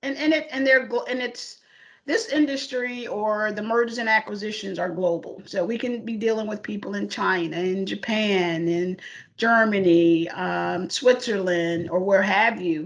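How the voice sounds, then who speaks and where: A woman talks at a medium pitch with ordinary pitch variation. She has an American accent. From US South, Charlotte, North Carolina. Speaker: corporate IT mergers and acquisitions lead. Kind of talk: career interview. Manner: hesitant, many fillers.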